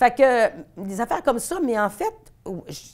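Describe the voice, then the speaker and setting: The speaker uses an animated tone in a Quebec accent. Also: woman. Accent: Québécois French. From Quebec City, Quebec. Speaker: veterinarian. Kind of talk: interview. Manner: fast.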